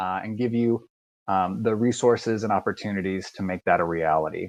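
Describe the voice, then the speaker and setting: A man speaks with a slight Southern US accent against a quiet background. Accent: slight Southern twang. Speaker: university admissions recruiter. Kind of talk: live online presentation. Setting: video call with screen sharing. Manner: many filler words (uh, um).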